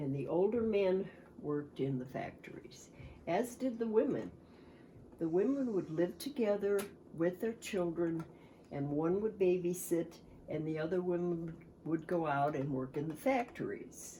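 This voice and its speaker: A woman's fairly low, dark, mellow voice at a moderate pace. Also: lively intonation. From US Midwest, Cleveland, Ohio. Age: 80s+. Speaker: war-era eyewitness, grandmother. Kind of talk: oral history interview. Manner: reflective, with hesitations.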